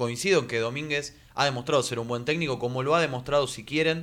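A man talks at a very fast pace with a Rioplatense accent. His intonation is fairly even. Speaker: sports radio co-host. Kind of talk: casual chat.

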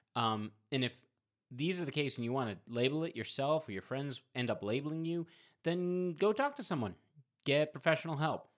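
A man's fairly high-pitched voice, a normal speaking voice, with lively intonation at a moderate pace. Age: 40s. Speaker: mental health podcast co-host. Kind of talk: casual chat.

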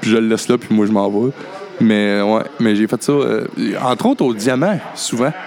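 Noticeable background noise sits under a man whose loudness stays very even and whose pitch varies in an ordinary way. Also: medium pitch for a man, moderate pace. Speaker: podcast host. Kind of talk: casual chat. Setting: cabaret bar.

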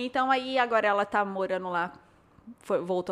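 A woman's unremarkable speaking voice, medium in pitch, at a moderate pace with ordinary pitch variation, on a very clean recording with a silent background. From São Paulo state interior, Brazil. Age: 30s. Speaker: blogger and influencer. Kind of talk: casual chat.

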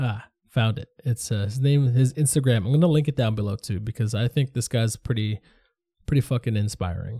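A man with a somewhat breathy voice and a dark, mellow tone speaks at a fairly quick pace and medium pitch with ordinary pitch variation, over a quiet background. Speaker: podcast host. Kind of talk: solo monologue podcast. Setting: home studio. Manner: casual, halting.

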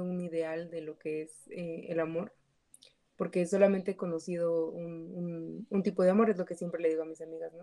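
A woman speaks at a fairly slow pace in a dark, mellow, fairly low voice with fairly even intonation. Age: 20s. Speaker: psychology graduate, guest. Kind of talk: casual group discussion. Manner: halting.

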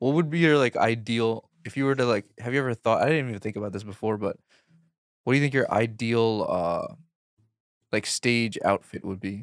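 The speaker is a man with an American accent and an ordinary speaking voice at medium pitch. He talks at a fairly quick pace with ordinary pitch variation on a very clean recording with a silent background. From Queens, New York. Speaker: comedian guest. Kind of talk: casual chat. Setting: studio.

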